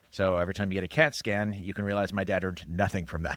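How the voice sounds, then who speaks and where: Recorded very cleanly over a silent background, a man with a General American accent talks at a very fast pace in a fairly low pitch, the sound dry and close with no echo. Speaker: cybersecurity expert and musician. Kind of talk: casual interview.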